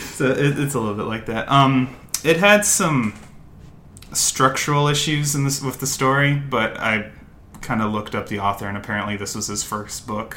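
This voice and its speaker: Over noticeable background noise, a man talks at a moderate pace with a medium pitch and lively intonation. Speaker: podcast co-host. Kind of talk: casual chat. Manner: hesitant, many fillers.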